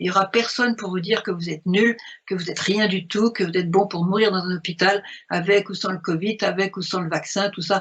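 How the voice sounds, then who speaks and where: A woman's somewhat breathy voice at medium pitch, with ordinary pitch variation and a moderate pace. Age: 70s. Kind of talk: spiritual talk commenting a message.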